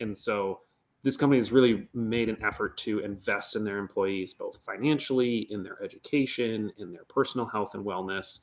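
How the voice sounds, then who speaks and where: A man with an American accent speaks at a medium pitch in a normal speaking voice, with ordinary pitch variation. The recording is very clean, with a silent background. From Northern Michigan. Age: 20s. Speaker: economic development manager. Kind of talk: podcast interview. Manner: casual, with many fillers.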